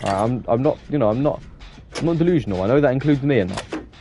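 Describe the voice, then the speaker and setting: A man with an English accent at medium pitch, very fast and with lively intonation, over noticeable background noise. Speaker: gaming streamer. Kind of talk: casual live-stream gameplay chat. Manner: fast, sometimes trips over words.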